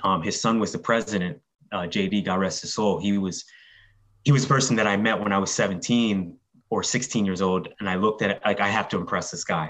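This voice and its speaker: A man with an American accent talks at a fairly quick pace in a fairly low pitch. His is an unremarkable speaking voice, with fairly even intonation. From Philadelphia, Kensington. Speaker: media professional. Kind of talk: casual interview.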